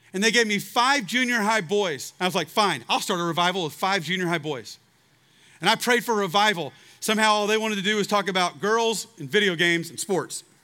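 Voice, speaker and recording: A man with a Texan accent projects a raised, high voice with a bright, sharp tone. He moves at a fairly quick pace with ordinary pitch variation. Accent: Texan American English. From Texas, Waco. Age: 40s. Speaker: preacher. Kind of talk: revival sermon to a large outdoor student crowd, urgent personal appeal. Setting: outdoor stage with large audience. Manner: impassioned, rising, exhorting preacher cadence; earnest, confessional storytelling.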